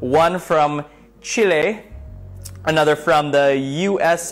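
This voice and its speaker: A man's voice with ordinary pitch variation over faint music in the background. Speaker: show host. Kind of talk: casual live-stream chat. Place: home room. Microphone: phone near.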